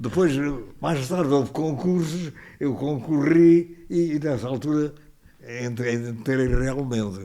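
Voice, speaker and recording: This man's pitch is fairly high, with ordinary pitch variation. He speaks at a very slow pace. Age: 80s+. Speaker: retired hydraulic engineer. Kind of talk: podcast interview answer. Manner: good-humoured storyteller.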